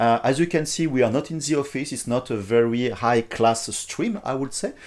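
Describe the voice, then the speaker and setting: A man with a strong French accent speaks at a medium pitch and a moderate pace, his intonation lively, on a very clean recording with a silent background. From France. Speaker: software company CEO. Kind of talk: live stream tutorial. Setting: live stream, not in the office. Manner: hesitant, many fillers.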